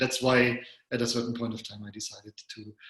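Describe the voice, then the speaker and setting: A man speaks at medium pitch with a German accent. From Germany. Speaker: psychologist and coach. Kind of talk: interview.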